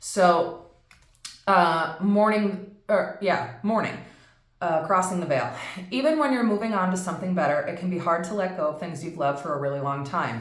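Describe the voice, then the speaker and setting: A woman's fairly low voice at a moderate pace with lively intonation, long and frequent pauses, noticeable background noise and audible room echo. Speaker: tarot reader. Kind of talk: tarot reading. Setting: empty office in new home. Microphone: echo in room.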